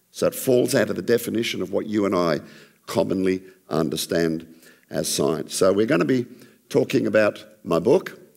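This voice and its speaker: A man with an Australian accent and a very deep, low pitch, vocal fry and lively intonation at a moderate pace. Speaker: creationist ministry speaker. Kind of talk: church talk. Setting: church with audience. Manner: less dynamic than usual.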